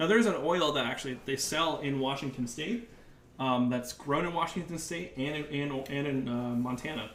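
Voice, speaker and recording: Noticeable background noise and audible room echo accompany a man whose fairly high pitch shows ordinary variation. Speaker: chef. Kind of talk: cooking tutorial. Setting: live video stream. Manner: fast.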